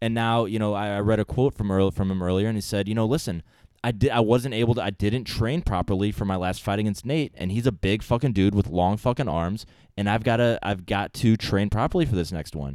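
A man with an American accent talks at a fairly quick pace in a plain, everyday voice, his fairly low pitch showing ordinary variation on a very clean recording with a silent background. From US Midwest (St. Louis). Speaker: podcast host, TV industry worker. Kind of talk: casual chat.

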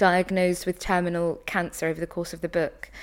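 A woman speaks with a British accent. The recording is very clean with a silent background. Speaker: professor, broadcaster and prize judge. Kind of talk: book discussion. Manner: articulate.

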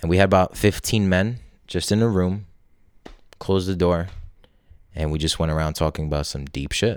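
With a very deep, low pitch and ordinary pitch variation, a man talks at a fairly quick pace but leaves long, frequent pauses, on a very clean recording with a silent background. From Poland. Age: 20s. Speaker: entrepreneur and men's coach. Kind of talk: casual interview chat.

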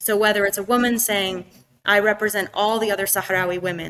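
A woman with an American accent speaks at a medium pitch in a bright, sharp tone. Her intonation stays monotone and flat. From US, New Hampshire. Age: 30s. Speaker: activist and former teacher. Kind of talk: interview. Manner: halting.

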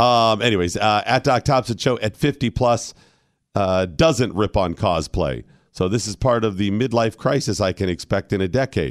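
In a very clean recording with a silent background and a dry, close sound with no echo, a man with an American accent talks at a moderate pace in a fairly low pitch, with ordinary pitch variation and very even loudness. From US Midwest, Ohio. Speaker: radio host. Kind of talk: casual chat. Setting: studio. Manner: animated.

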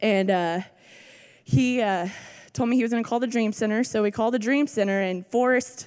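Talking at a fairly quick pace, a woman uses a plain, everyday voice whose fairly high pitch has ordinary variation. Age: 20s. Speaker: rehab program student. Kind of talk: testimony. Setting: church with audience.

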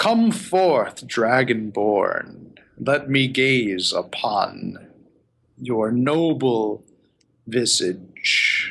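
The speaker uses a put-on character voice. The delivery is very slow. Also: man, medium pitch for a man. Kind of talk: villain monologue. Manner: slow, silky, menacing.

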